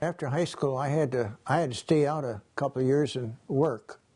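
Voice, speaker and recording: With an Upper Midwest accent, a man speaks in a dark, mellow tone that is somewhat breathy, keeping his intonation fairly even. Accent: Upper Midwest American. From Wisconsin. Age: 80s+. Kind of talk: interview answer.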